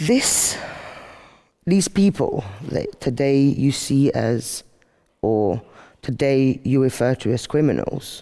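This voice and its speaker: In an English accent, a man with a dark, mellow tone speaks at a very slow pace with long, frequent pauses, very even loudness and ordinary pitch variation. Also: fairly high pitch for a man. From Albania, outskirts of Tirana. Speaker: activist speaker. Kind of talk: monologue talk to camera.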